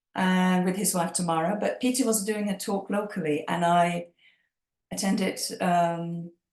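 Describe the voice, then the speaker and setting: A woman with a Czech accent speaks at a medium pitch and a moderate pace, her voice somewhat breathy. Her loudness stays very even and her intonation fairly even. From Czech Republic, Prague. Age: 50s. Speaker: EFT practitioner. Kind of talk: interview.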